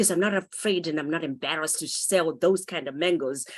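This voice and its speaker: This woman talks at a fairly quick pace in a Zimbabwean accent. Her voice is fairly low in pitch, with ordinary pitch variation. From Zimbabwe (Harare township). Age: 50s. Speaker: author and motivational speaker. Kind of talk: interview.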